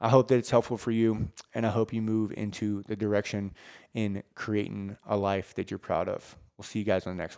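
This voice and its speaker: On a very clean recording with a silent background and a dry, close sound with no echo, a man with a fairly low pitch speaks at a fairly quick pace in a flat monotone, his loudness swinging widely. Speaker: fitness coach and podcast host. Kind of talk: motivational rant and pep talk; earnest direct-address pep talk to listeners. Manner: passionate, sincere, urgent.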